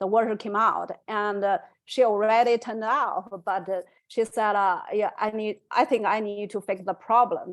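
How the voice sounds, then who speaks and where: The recording is very clean, with a silent background. A woman with a non-native accent speaks at a moderate pace and a fairly high pitch, with fairly even intonation. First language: not English. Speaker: study group participant. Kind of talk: casual group discussion. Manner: halting.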